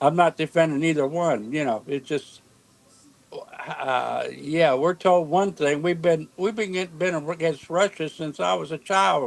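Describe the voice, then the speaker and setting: Noticeable background noise is present throughout. The delivery comes at a fairly slow pace. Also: man, fairly high pitch for a man, ordinary pitch variation. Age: 70s. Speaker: stream panelist. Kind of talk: casual chat. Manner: halting.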